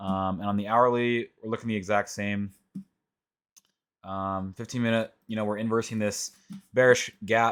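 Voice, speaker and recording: A man talks at a moderate pace with monotone, flat intonation. Long pauses come often. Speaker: trading educator / youtuber. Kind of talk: screen-recorded tutorial. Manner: quiet; casual, filler-heavy. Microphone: mic being adjusted, reportedly quiet.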